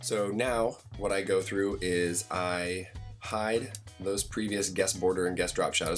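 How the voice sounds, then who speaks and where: Music plays in the background. Over it, a man speaks with a fairly low pitch. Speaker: graphic design tutorial host. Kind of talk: screen-recorded software tutorial narration. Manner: casual, conversational.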